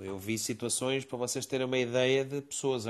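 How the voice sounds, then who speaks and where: At a moderate pace, a man speaks at medium pitch in a monotone, flat way. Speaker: participant in a live audio discussion room. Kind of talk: casual discussion. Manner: halting, many repetitions and fillers.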